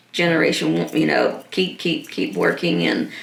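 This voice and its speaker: Audible room echo and noticeable background noise around a woman speaking at a medium speed. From Trinidad and Tobago. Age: 60s. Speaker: nonprofit founder. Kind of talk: interview.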